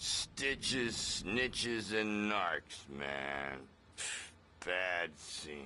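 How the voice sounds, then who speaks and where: Against clear background noise, a man puts on a character voice that is very deep and low, talking at a very slow pace with very wide pitch swings. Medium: video game. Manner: laid-back hippie slang.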